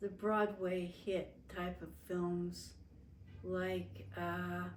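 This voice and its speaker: A woman with an American accent speaks at a very slow pace. Audible room echo surrounds her voice. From Las Vegas, Nevada, US. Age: 70s. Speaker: family interviewee. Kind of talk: oral history interview. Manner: halting, with frequent fillers.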